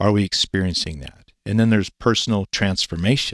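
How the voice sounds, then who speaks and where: Very deep and low, a man with a Pacific Northwest accent talks at a fairly quick pace with ordinary pitch variation, in a dry, close sound with no echo on a very clean recording with a silent background. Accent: Pacific Northwest American. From Eastern Washington, US. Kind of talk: interview.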